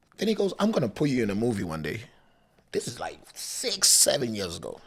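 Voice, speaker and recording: Over noticeable background noise, a man speaks in an animated tone at a fairly quick pace. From Africa. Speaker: DJ and content creator. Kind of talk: casual interview chat. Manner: loud, animated.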